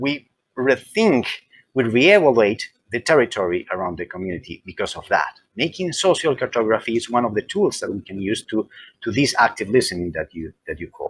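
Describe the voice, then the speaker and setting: A man with a Spanish accent talks at a fairly quick pace and a medium pitch, with very wide pitch swings and big swings in loudness, in a dry, close sound with no echo. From Colombia, Medellin. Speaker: library consultant. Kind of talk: interview. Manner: halting, repeats words.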